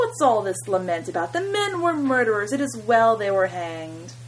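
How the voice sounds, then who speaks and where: Putting on a character voice, a man projects a shrill, high pitch with very wide swings at a moderate pace while clear background noise runs underneath. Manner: sneering.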